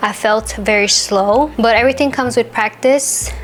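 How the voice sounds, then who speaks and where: A woman speaks at a moderate pace. There is noticeable noise in the background. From France, Vietnamese family. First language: Vietnamese. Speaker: vlogger, expectant parent. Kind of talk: casual personal storytelling.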